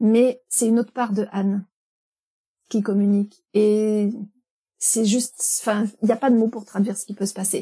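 A woman speaks in a fairly high pitch with a dark, mellow, somewhat breathy tone and monotone, flat intonation. Her loudness swings a lot, and she takes long, frequent pauses. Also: moderate pace. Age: 50s. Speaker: animal communicator. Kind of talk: interview. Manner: hesitant.

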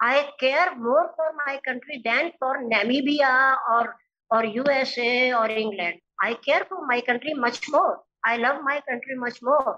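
A woman with a high pitch and a bright, sharp tone uses a raised, projected voice at a fairly slow pace with ordinary pitch variation. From India, Uttar Pradesh. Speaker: philosophy professor and social activist. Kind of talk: interview. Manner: halting, many filler uhs.

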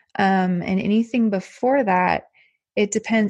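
Somewhat breathy, a woman with an American accent speaks at a moderate pace with ordinary pitch variation against a quiet background, in a dry, close sound with no echo. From Texas, El Paso. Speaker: podcast host, expat parent. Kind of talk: casual interview.

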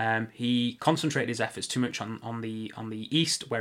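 A man speaks at a medium pitch with an English accent. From England. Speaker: podcast host. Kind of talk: casual chat.

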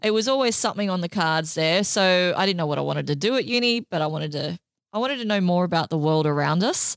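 A woman's fairly low voice in an Australian accent, very fast pace and lively intonation, on a very clean recording with a silent background. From Australia, Sydney inner west. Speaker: podcast producer and STEM advocate. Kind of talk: casual chat.

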